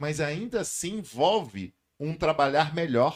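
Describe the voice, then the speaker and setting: Speaking with lively intonation at a fairly high pitch, a man is heard on a very clean recording with a silent background. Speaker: communication and public speaking teacher. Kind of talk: podcast interview. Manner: loud voice.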